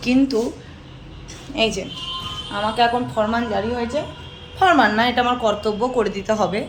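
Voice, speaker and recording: A woman does a put-on character voice, soft-spoken and strained, at a fairly high pitch with ordinary pitch variation. She keeps a moderate pace over clear background noise. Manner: soft, slow, strained by pain.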